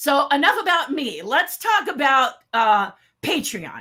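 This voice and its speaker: Speaking very slowly, a woman projects a raised voice with a bright, sharp tone and very wide pitch swings. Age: 60s. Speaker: sculptor and special effects artist presenting. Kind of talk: online presentation. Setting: virtual summit livestream. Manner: casual, chatty.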